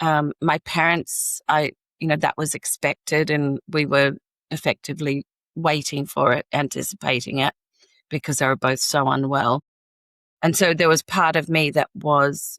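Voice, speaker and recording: The speech moves at a fairly slow pace with ordinary pitch variation. The sound is dry and close with no echo, on a very clean recording with a silent background. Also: woman. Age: 60s. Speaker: coach and corporate trainer. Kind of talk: casual interview conversation. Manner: halting, with fillers.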